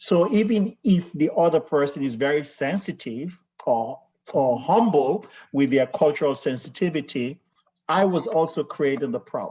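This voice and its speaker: Speaking at a moderate pace, a man with a Sierra Leonean accent has a fairly high pitch, a dark, mellow tone and lively intonation. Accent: West African (Sierra Leonean). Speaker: healthcare leader. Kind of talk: panel discussion.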